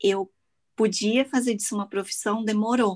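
A woman speaks at a fairly high pitch with ordinary pitch variation. Her voice is somewhat breathy. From Brazil, Petrópolis (Rio de Janeiro state). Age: 30s. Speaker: makeup artist and content creator. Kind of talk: casual chat.

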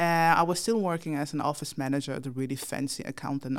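A woman's very deep, low voice at a very fast pace, on a very clean recording with a silent background. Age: 30s. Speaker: startup founder. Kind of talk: interview. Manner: hesitant, many fillers.

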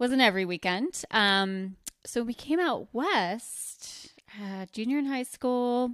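Very slow, lively speech from a woman with a high pitch and an American accent, on a very clean recording with a silent background. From US Northeast (rural northwest New Jersey). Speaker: lingerie shop owner. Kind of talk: casual chat.

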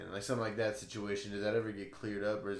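A man's fairly low voice with an American accent and fairly even intonation, plus audible room echo. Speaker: podcast host. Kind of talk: casual chat.

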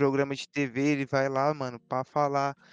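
A man speaks with music in the background. The sound is dry and close, with no echo. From Brazil, São Paulo East Zone. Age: young. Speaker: DJ. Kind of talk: casual chat.

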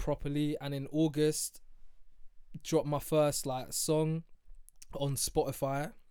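With a London accent and a dark, mellow tone, the voice goes at a fairly slow pace with long, frequent pauses. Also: man, fairly high pitch for a man. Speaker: podcast host. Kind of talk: casual banter chat. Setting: studio. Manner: animated, swearing.

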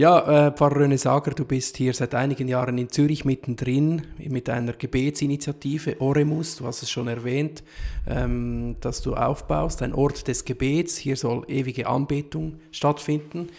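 Speaking at a moderate pace with hardly any pauses, a man delivers his words in a monotone, flat intonation at a fairly high pitch. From Central Switzerland. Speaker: podcast host. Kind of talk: interview conversation. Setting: sacristy of a small chapel.

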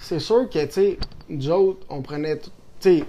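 A man's high voice at a fairly slow pace. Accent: Quebec. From Quebec, Saint-Tite. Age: 20s. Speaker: rodeo athlete. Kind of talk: casual chat.

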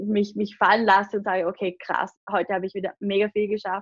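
A woman speaks at medium pitch with monotone, flat intonation. The sound is dry and close, with no echo. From Austria, Vorarlberg (Lake Constance). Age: 20s. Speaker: online business coach and agency owner. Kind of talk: podcast interview.

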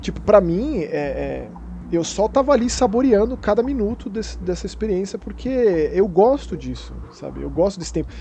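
Noticeable background noise surrounds a man speaking at a moderate pace. His loudness swings widely. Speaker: podcast host. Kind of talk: casual chat.

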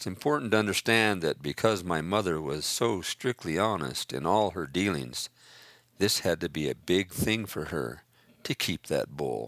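Very deep and low in pitch, a man with an American accent speaks with lively intonation and vocal fry in a dry, close sound with no echo. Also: moderate pace, very clean recording, silent background. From Northern California. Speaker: memoirist. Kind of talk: reading aloud.

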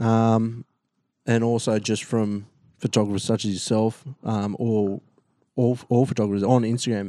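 Against a quiet background, a man with an Australian accent speaks slowly-ish, at a fairly slow pace, in a medium-pitched, dark, mellow voice with a dry, close sound with no echo. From Australia, New South Wales south coast. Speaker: photographer and videographer, ex-navy. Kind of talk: casual interview chat. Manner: hesitant, many fillers.

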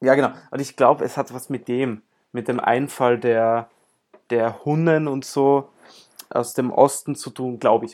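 With a plain, everyday voice, a man speaks at medium pitch and a fairly slow pace, his intonation fairly even and his loudness swinging widely. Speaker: podcast host and amateur tennis player. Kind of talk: casual chat.

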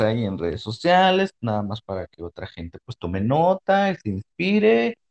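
With an unremarkable speaking voice, a man talks at a medium pitch and a fairly quick pace. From Mexico, Monterrey. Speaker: podcast host. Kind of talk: casual chat. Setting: studio.

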